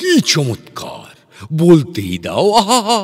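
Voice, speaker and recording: Over background music, a man does a put-on character voice, high-pitched and with very wide pitch swings. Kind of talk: comic verse dialogue. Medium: read story. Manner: pompous, slow, rambling.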